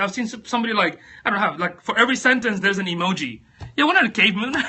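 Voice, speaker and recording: A man with a non-native accent talks at a very fast pace. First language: not English. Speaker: social media coach. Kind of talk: live stream talk. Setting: live video stream on phone. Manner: casual, hesitant with fillers.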